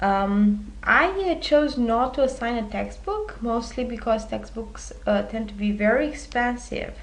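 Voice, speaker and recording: In a Romanian accent, a woman talks with hardly any pauses. Room echo is audible. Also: fairly slow pace. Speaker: university instructor. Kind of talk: recorded lecture presentation. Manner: many filler hesitations.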